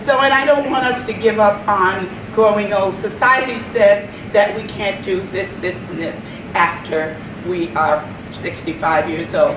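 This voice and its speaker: A medium-pitched woman at a fairly slow pace with ordinary pitch variation, amid noticeable background noise and audible room echo. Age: 70s. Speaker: event organizer. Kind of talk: welcome speech. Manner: halting.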